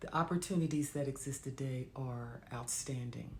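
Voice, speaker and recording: Her pace is fairly slow. The woman's voice has a somewhat breathy quality. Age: old. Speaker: digital marketer. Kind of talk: casual talk to camera.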